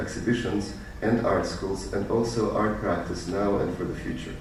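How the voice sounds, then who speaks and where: Against noticeable background noise and audible room echo, a man talks at a fairly quick pace with fairly even intonation. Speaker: artist. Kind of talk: lecture. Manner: fast.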